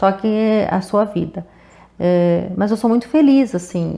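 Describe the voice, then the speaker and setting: A woman talks at a moderate pace. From southern Brazil, Rio Grande do Sul. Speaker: public prosecutor. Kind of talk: interview.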